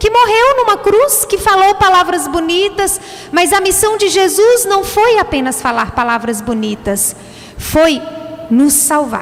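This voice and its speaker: With a strong Minas Gerais accent, a woman speaks fairly slowly at an extremely high pitch, her intonation lively and her loudness very even over noticeable background noise. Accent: strong mineiro (Minas Gerais). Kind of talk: sermon.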